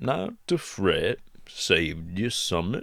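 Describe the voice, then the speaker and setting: Drawling at a very slow pace, a man uses a rumbling put-on character voice. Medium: read story. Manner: slurred drawl.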